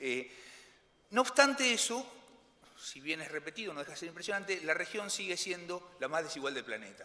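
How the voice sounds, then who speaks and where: With long, frequent pauses, a high-pitched man talks at a fairly quick pace in a bright, sharp tone, his voice showing very wide pitch swings and big swings in loudness. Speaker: economist. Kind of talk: conference presentation. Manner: fast; halting, many fillers and repetitions.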